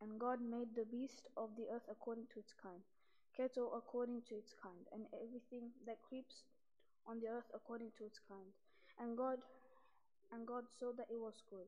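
A woman's flat, monotone voice at a moderate pace, broken by long and frequent pauses. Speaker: scripture reader. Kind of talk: liturgical scripture reading. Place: church. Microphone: podium.

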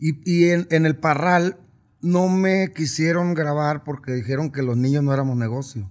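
A man talks at a moderate pace with ordinary pitch variation over a quiet background. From Sinaloa, Mexico. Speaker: regional Mexican singer; interviewee. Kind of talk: casual interview. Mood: relaxed, reflective. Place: studio. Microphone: studio mic.

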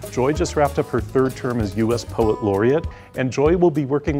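A man talks at a fairly quick pace while faint music plays in the background. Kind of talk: interview answer. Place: hall. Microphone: lapel.

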